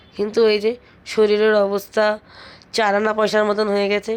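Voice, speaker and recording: A woman speaks at a medium pitch. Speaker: vlogger. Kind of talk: vlog voice-over narration.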